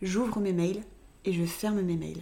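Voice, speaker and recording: A woman's medium-pitched voice is heard with audible echo from the room. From Reims, France. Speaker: podcast co-host, communication consultant. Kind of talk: casual chat. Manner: hesitant, many fillers.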